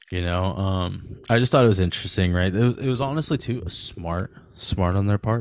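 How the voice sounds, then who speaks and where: A man with a fairly low voice speaks at a moderate pace with hardly any pauses and ordinary pitch variation. Background noise is noticeable. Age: 30s. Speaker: podcast co-host. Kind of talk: casual chat. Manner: animated.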